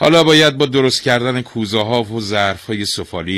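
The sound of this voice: It is delivered in an unforced reading voice.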